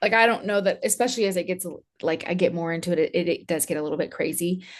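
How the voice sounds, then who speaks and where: Speaking with an American accent at a very fast pace, a woman uses a medium pitch with ordinary variation. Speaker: podcast host. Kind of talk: casual chat.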